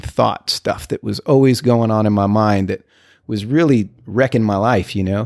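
A plain, everyday voice moves at a fairly slow pace with ordinary pitch variation, captured dry and close with no echo on a very clean recording with a silent background. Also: man. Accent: American. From El Paso, Texas. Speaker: recovering alcoholic sharing story. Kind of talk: interview, personal recovery story.

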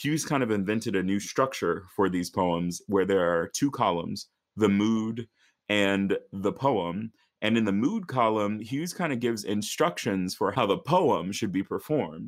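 On a very clean recording with a silent background, a man with a normal speaking voice and fairly low pitch talks at a moderate pace with lively intonation. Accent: American. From rural northern Virginia, US. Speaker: opera singer. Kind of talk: interview.

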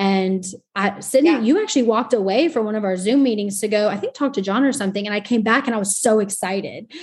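Very fast and with an American accent, a woman talks at a fairly high pitch. Her voice is somewhat breathy, and her pitch varies in an ordinary way. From Texas. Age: 20s. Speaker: podcast host. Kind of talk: casual chat.

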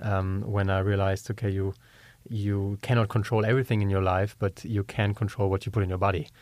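A man rattles off his words at a very fast pace with monotone, flat intonation. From Germany. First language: German. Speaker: company co-founder. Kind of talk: interview.

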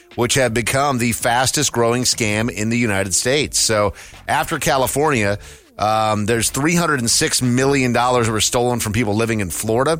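Noticeable background noise runs under this clip. The man speaking keeps up a fairly quick pace. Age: 40s. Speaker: radio show co-host. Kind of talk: news reading; casual chat.

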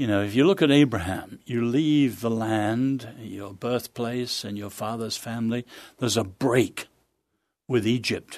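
Over a quiet background, a man with a British accent talks at a moderate pace and medium pitch, with ordinary pitch variation. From England, childhood partly in China. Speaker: author and social analyst. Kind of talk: interview conversation. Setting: studio.

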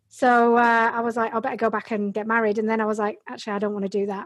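A woman with an English accent, fairly high in pitch, at a very fast pace. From Yorkshire, England (Bradford). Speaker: Amazon seller and business coach. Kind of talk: casual interview about her career story.

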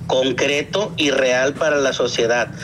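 The man talks very slowly. Noticeable background noise can be heard behind him. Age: 50s. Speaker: activist father entering politics. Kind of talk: interview. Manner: halting.

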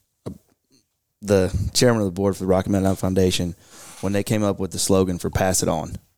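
A man at a fairly low pitch, very fast in pace, with long, frequent pauses. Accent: Kentucky. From Kentucky (Bowling Green). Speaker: conservation group regional director. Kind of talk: casual interview. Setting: studio conference room.

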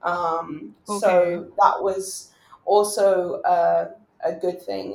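With a British accent, this voice shows vocal fry and ordinary pitch variation. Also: woman. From England. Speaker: doctor. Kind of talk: casual interview conversation. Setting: online recording from home.

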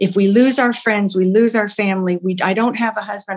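A woman speaks at a medium pitch with an American accent and a normal speaking voice. Her pace is moderate and her intonation fairly even. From Oklahoma. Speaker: bakery founder and entrepreneur. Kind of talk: interview.

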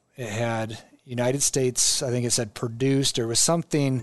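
Medium-pitched man with a Midwestern American accent, fairly even intonation and a fairly quick pace, over a quiet background. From Nebraska, Omaha. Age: 40s. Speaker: state senator and governor candidate. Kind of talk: casual interview.

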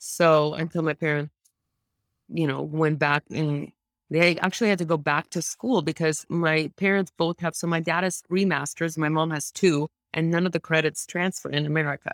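Recorded very clean with a silent background and a dry, close sound with no echo, a woman with a Russian accent speaks at a moderate pace in a very deep, low pitch with fairly even intonation. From Moscow, Russia. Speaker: venture capital investor. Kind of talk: casual interview conversation.

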